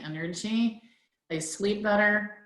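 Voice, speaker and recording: A woman's voice carries audible room echo. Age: 60s. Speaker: product user sharing results. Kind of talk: testimony. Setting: conference call.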